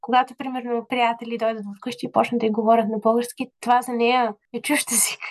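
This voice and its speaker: In a dry, close recording with no echo, a woman talks at a high pitch. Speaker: university lecturer and business owner. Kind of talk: casual chat.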